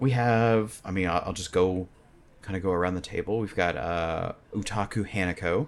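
A plain, everyday voice from a man, fairly low in pitch, at a moderate pace, with ordinary pitch variation. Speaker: dungeon master and game company head. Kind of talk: casual chat, actual play recap. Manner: joking, playful.

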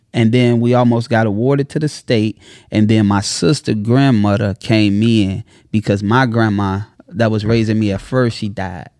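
Against a quiet background, a man speaks at a moderate pace in a fairly low pitch with fairly even intonation. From Chicago, South Side. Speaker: entrepreneur and content creator. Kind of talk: casual interview. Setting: studio. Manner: preacher-like delivery.

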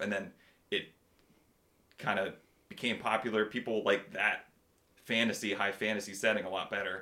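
This man has a fairly low pitch and a bright, sharp tone, and he speaks at a moderate pace. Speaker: tabletop game master. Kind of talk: casual chat. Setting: studio. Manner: animated.

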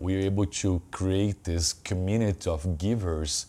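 With a Brazilian accent, a man speaks at a very deep, low pitch in a dark, mellow tone and fairly even intonation, recorded very cleanly against a silent background. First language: Portuguese. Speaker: personal trainer and gym owner. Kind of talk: casual interview.

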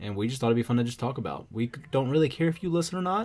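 This man's voice is somewhat breathy, with lively intonation and a very fast pace. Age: 30s. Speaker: podcast co-host. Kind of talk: casual chat.

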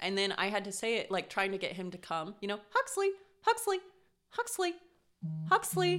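With an American accent, a woman speaks at a moderate pace, leaving long, frequent pauses. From Colorado, US. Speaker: podcast host. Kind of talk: casual chat.

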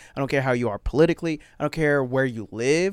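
Talking very fast with an American accent, a man uses a fairly high pitch and an animated tone. His pitch varies in an ordinary way. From Florida. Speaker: stand-up comedian. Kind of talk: casual chat.

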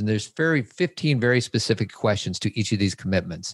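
A man with a medium pitch uses a normal speaking voice, moving at a fairly quick pace with lively intonation. The sound is dry and close with no echo, over a quiet background. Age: 40s. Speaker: men's coach and parenting podcast host. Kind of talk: casual chat.

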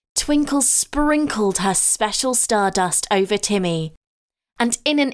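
This woman has a plain, everyday voice and speaks at a fairly slow pace with lively intonation. The recording is very clean, with a silent background. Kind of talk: bedtime story narration. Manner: soft, slow, soothing.

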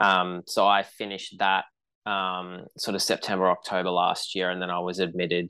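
With an Australian accent, a man speaks at a very deep, low pitch in a bright, sharp tone and flat, monotone intonation. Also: moderate pace. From Queensland, Australia. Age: 20s. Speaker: runner and lawyer. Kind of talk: casual interview.

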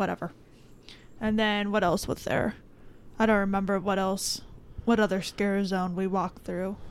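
A woman with an American accent at a medium pitch, monotone and flat, at a moderate pace with long, frequent pauses, on a very clean recording with a silent background. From Florida (Miami area). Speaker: podcast host. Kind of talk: casual chat.

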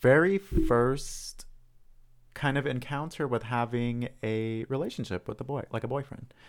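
Here a man uses a normal speaking voice at medium pitch with ordinary pitch variation. He goes at a fairly slow pace on a very clean recording with a silent background. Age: 20s. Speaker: podcast co-host. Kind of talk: casual chat.

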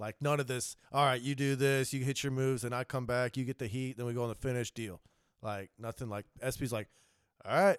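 A man with a plain, everyday voice speaks at a fairly quick pace in a medium pitch with fairly even intonation. The recording is very clean with a silent background, the sound dry and close with no echo. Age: 30s. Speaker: pro wrestler and MMA fighter. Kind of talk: casual chat.

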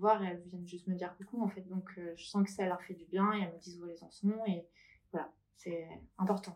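Woman at a medium pitch, fairly quick, with monotone, flat intonation. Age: 30s. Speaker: breast cancer survivor and shop owner. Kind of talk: interview testimony.

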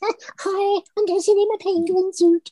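In a put-on character voice, the speaker goes squeaky and extremely high-pitched at a fairly slow pace. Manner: comical, silly.

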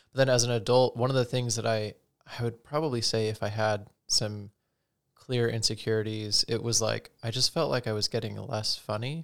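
The recording is very clean, with a silent background. A man with a normal speaking voice talks at a medium pitch and moderate pace, his intonation fairly even. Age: 30s. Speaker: podcast host, manages teams at work. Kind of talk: casual chat. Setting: video podcast recording.

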